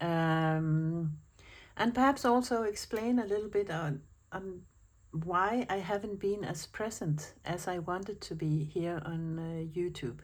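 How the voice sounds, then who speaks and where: Spoken at a fairly slow pace, the voice has a Danish accent and ordinary pitch variation. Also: woman, fairly low pitch for a woman. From Denmark. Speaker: planner vlogger. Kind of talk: casual chat. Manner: hesitant, with fillers.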